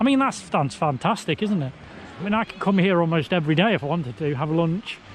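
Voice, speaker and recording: Speaking fairly quickly with an English accent, a man uses a high pitch and lively intonation. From England. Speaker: travel vlogger. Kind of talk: travel vlog. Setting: outdoors on beach. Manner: casual, conversational.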